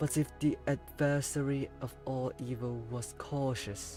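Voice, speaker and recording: With music in the background, a man speaks in a calm tone and lively intonation. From Hong Kong. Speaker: VTuber. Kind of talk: poetry reading. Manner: slow, calm.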